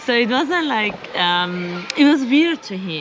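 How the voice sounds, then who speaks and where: Over noticeable background noise and audible room echo, a woman with an Iranian accent speaks in a fairly high pitch with lively intonation. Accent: Iranian (Persian) English. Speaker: interviewee, expat living abroad. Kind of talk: casual interview.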